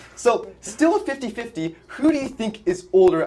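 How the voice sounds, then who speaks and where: Over noticeable background noise, the speech carries lively intonation. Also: man. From Canada, Vancouver. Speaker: political podcast co-host. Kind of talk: interview. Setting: politician's office.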